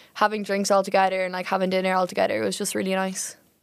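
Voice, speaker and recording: A woman speaks very fast in a medium-pitched voice with an Irish accent and monotone, flat intonation. The recording is very clean, with a silent background. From Ireland. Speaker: student volunteer. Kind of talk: casual chat.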